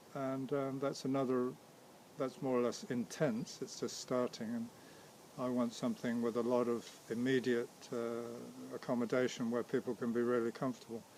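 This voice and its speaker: The pace is moderate. The intonation is monotone and flat. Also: man, medium pitch for a man. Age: 60s. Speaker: vegan community founder. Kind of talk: interview. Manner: hesitant, repeats words.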